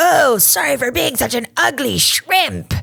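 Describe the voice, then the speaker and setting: Someone puts on a character voice, pitched fairly high and delivered at a fairly slow pace. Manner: self-deprecating, put-on.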